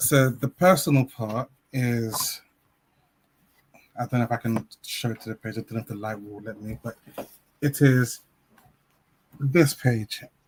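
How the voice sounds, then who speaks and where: A man with a London accent, somewhat breathy, at a fairly slow pace with long, frequent pauses, the sound dry and close with no echo. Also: medium pitch for a man, ordinary pitch variation, big swings in loudness. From South-East London. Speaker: children's author and teacher. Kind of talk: interview.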